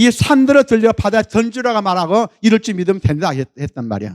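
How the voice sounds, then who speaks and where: A man's high-pitched voice with lively intonation at a fairly quick pace, dry and close with no echo, in a very clean recording with a silent background. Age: 70s. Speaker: pastor. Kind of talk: sermon.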